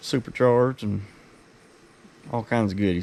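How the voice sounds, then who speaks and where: A man with an Appalachian accent speaks fairly quickly at a fairly low pitch, his intonation fairly even. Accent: rural Appalachian (self-described hillbilly). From West Virginia. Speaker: car enthusiast YouTuber. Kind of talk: casual vlog tour. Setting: garage. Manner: casual, profane.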